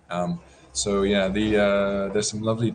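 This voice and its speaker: In a West Country accent, a man is speaking. Noticeable background noise runs underneath. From West Country, England. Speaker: karate teacher. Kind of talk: interview.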